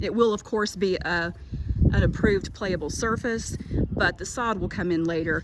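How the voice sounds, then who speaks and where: A woman speaks at a moderate pace with fairly even intonation. Noticeable background noise and audible room echo fill the recording. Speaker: school administrator giving a tour. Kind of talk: walking tour video narration. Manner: casual, friendly.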